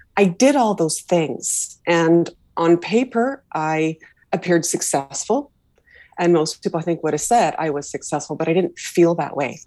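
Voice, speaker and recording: A woman's voice sits at a fairly low pitch, with a dark, mellow tone. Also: lively intonation, moderate pace. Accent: western Canadian. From Canada, Vancouver. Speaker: leadership coach. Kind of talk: interview conversation. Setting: video call.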